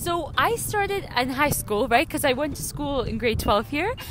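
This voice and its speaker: Speaking with a Canadian accent at a moderate pace, a woman swings her pitch very widely over noticeable background noise. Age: 18. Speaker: university student. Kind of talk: casual interview.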